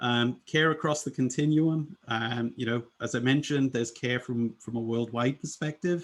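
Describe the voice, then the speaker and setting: Delivered at a moderate pace with hardly any pauses, the speech has a British accent and ordinary pitch variation. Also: man, medium pitch for a man. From UK. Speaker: UX design leader. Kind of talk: presentation. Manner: many filler words (um, uh).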